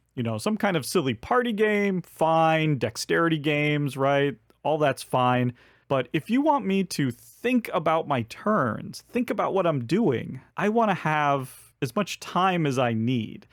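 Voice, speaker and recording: Speaking fairly slowly, a man's fairly high voice moves through very wide pitch swings. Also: dry, close sound with no echo. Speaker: board game reviewer. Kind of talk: casual video monologue. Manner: halting, with stammers and fillers.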